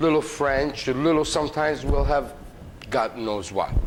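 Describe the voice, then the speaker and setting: Amid noticeable background noise, a man speaks with ordinary pitch variation. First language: Italian. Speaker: cooking show host. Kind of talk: cooking tutorial. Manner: animated; hesitant with many fillers.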